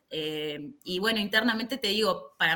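An unremarkable speaking voice from a woman at medium pitch, lively in intonation, at a fairly slow pace. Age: 30s. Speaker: karate instructor. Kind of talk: casual chat.

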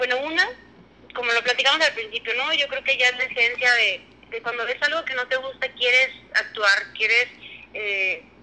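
A woman with a high pitch speaks against noticeable background noise. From Mexico, Durango. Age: 20s. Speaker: business engineer. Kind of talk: casual chat. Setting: remote call.

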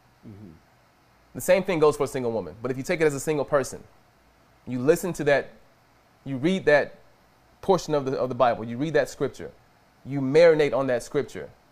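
Animated in tone, a man with a fairly high pitch and ordinary pitch variation speaks at a very fast pace, his loudness swinging widely between long, frequent pauses. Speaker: preacher. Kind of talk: sermon.

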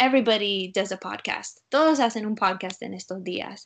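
A woman speaks against a quiet background. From US, Utah. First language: English (speaking Spanish). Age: 20s. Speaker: school counselor. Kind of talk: interview. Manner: halting.

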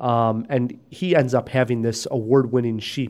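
A man with a normal speaking voice talks at a medium pitch and a moderate pace. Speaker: film podcast host. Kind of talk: casual chat. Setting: studio.

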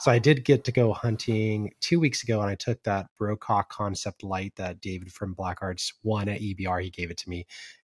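A man at a fairly low pitch, somewhat breathy, with big swings in loudness and ordinary pitch variation, at a moderate pace with hardly any pauses, in a dry, close sound with no echo. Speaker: podcast host. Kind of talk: casual interview.

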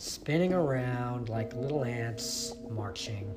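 With lively intonation and a medium pitch, a man speaks in an unremarkable speaking voice. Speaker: meditation teacher. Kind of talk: guided meditation. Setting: sitting on a cushion on the floor. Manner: slow, calm, soothing guide pacing the imagery; casual, chatty, self-deprecating.

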